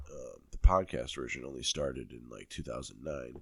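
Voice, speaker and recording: A dark, mellow tone carries very wide pitch swings. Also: man. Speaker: podcast host. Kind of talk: casual chat. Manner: halting, many fillers.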